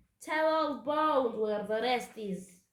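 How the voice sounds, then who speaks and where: A woman puts on a growling character voice, pitched high. She speaks at a fairly slow pace. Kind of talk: archaic pirate speech. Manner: growling, threatening.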